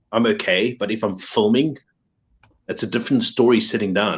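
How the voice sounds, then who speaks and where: A man with a South African accent, a fairly quick pace and ordinary pitch variation. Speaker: pop figure collector and video creator. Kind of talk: casual chat.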